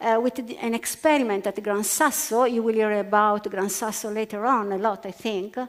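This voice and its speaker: Moving at a moderate pace, a woman speaks with an Italian accent. Her voice is fairly high, with ordinary pitch variation. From Italy. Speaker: physicist. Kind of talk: panel discussion. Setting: stage with audience. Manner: halting.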